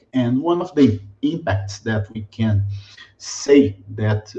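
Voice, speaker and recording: With a Brazilian accent, a man speaks at a medium pitch in a somewhat breathy voice of dark, mellow tone, with ordinary pitch variation. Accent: typical Brazilian. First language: Portuguese. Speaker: mining company sustainability director. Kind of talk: webinar presentation. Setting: video webinar. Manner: halting, many fillers.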